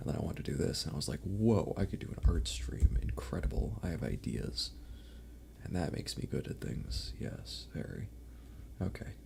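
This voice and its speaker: Over noticeable background noise, a man with a very deep, low voice talks at a moderate pace, his pitch swinging very widely. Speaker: vtuber streamer. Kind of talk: casual live stream chat. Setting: live stream. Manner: rambling, filler-heavy.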